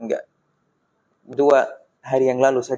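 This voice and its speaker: The sound is dry and close with no echo as a man talks with an Arabic accent. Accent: Arabic-accented Indonesian. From Palestine, Gaza. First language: Arabic (speaking Indonesian). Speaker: Palestinian guest at charity event. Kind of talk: interview. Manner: halting, with fillers.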